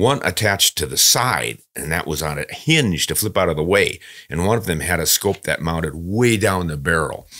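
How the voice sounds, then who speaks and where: Over a quiet background, a man with a very deep, low pitch talks at a moderate pace, his tone bright and sharp and his intonation lively. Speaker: podcast host. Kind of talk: podcast reading and commentary. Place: studio. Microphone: studio mic.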